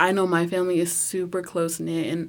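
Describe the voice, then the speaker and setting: A woman speaks with an American accent at a fairly low pitch. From rural Oklahoma. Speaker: university student.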